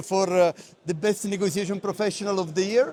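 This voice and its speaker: A high-pitched man speaks with fairly even intonation against noticeable background noise. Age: 60s. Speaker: negotiation expert. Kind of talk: interview. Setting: conference. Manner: hesitant, many fillers.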